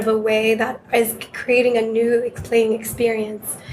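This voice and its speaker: A woman with a fairly high pitch talks at a medium tempo, her intonation flat and monotone, as noticeable noise runs in the background. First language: not English. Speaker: game company representative. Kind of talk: interview.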